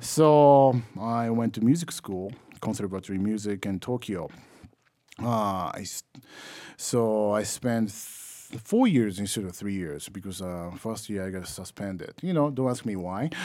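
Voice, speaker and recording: With a Japanese accent, a man speaks fairly slowly in a fairly low, dark, mellow voice with ordinary pitch variation, recorded very cleanly against a silent background. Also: big swings in loudness. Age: 30s. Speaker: trombonist. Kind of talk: interview. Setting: music festival.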